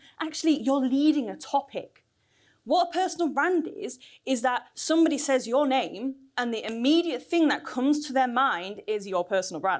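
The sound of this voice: Delivery moves at a moderate pace. Intonation stays lively. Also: woman.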